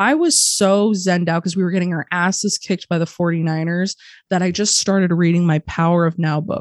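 Against a quiet background, a woman with a General American accent talks at a fairly quick pace and a fairly low pitch, her loudness very even and the sound dry and close with no echo. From Arizona. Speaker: harm reduction advocate. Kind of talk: casual interview. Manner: animated.

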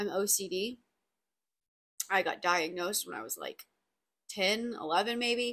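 A woman's raspy voice at medium pitch, fairly bright in tone with a slightly husky edge, ordinary pitch variation and a fairly slow pace.

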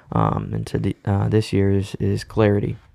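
Captured on a very clean recording with a silent background, a man speaks at a fairly slow pace with an American accent. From Cape Cod, Massachusetts. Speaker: podcast co-host. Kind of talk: casual chat.

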